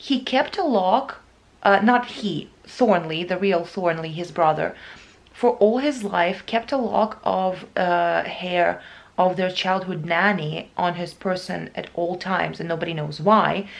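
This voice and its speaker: Vocal fry colors a woman's speech, delivered at a fairly slow pace. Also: medium pitch for a woman, ordinary pitch variation. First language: Russian and Ukrainian. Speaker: book vlogger. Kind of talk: casual vlog. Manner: halting.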